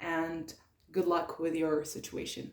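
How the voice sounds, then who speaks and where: A woman speaks at a fairly slow pace. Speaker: tarot reader. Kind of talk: tarot reading. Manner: hesitant, many fillers.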